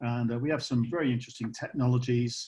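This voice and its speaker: A man speaks with a British accent in a monotone, with flat intonation. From UK. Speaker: company co-founder. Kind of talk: live product demonstration. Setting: video call.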